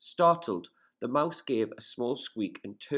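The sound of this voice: The speaker reads in an unforced voice whose intonation is lively.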